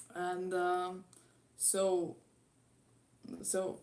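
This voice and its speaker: The speaker is a woman with a Latvian accent. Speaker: YouTube guitar cover musician. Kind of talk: live stream Q&A. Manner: halting.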